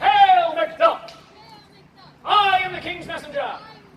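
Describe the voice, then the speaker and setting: In a put-on character voice with a theatrical tone and extremely high pitch, the speaker goes at a fairly slow pace with a slight echo. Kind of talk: comic overacting. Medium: stage play. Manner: theatrical, declamatory.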